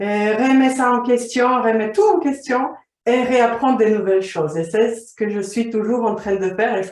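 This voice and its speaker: A woman's voice at a moderate pace. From Slovakia. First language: Slovak (speaking French). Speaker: vision coach. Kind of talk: interview.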